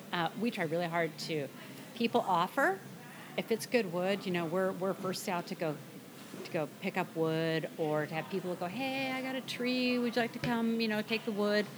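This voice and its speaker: With lively intonation and an American accent, a woman of medium pitch speaks at a moderate pace over noticeable background noise. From US Pacific Northwest (Burien, near Seattle). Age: 60s. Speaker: woodworker and former aircraft engineer. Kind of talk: casual interview chat.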